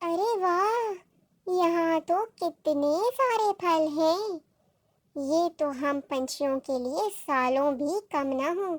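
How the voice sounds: A female-sounding, squeaky cartoonish character voice, extremely high-pitched and very slow.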